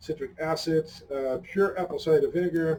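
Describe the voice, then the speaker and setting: Noticeable background noise sits under a man who talks at a moderate pace and keeps his intonation fairly even. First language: Dutch. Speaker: hot sauce reviewer. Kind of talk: casual review chat.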